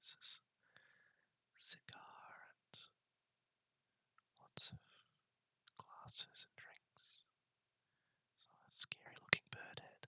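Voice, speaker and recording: Breathy whispering from a man with an Australian accent, dry and close with no echo. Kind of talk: ASMR video game map walkthrough. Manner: whispered, breathy; slow, soft-spoken.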